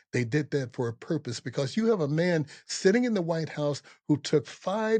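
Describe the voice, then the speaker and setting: Over a quiet background, a man with an American accent talks at a moderate pace in a fairly high pitch. His tone is dark and mellow, and his pitch swings very widely. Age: 70s. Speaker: podcast host, army veteran. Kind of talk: political commentary monologue. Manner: impassioned.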